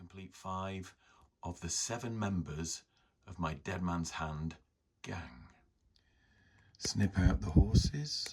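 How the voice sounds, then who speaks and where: Very slowly and with lively intonation, a man speaks in a very deep, low, somewhat breathy voice. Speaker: miniature model hobbyist. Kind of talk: hobby tutorial narration.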